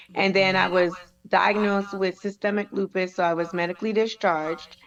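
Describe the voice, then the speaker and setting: A woman speaks in a Caribbean accent at a medium pitch. Her pace is moderate and her intonation fairly even. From US Virgin Islands (St. Thomas). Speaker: chef and Navy veteran. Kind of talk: interview testimony.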